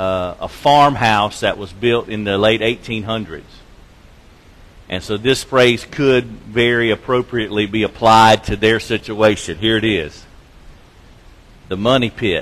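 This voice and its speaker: Pausing long and often, a man talks at a fairly slow pace and a fairly low pitch. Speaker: preacher. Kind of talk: sermon. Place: church.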